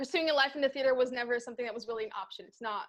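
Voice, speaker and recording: A woman with a high pitch and a Brazilian accent. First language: Brazilian Portuguese. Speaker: actor and theater critic. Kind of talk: podcast interview.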